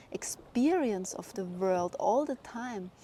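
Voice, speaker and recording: A woman with a German accent talks at a fairly high pitch with lively intonation. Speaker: spiritual vlogger. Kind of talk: personal monologue. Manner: slow.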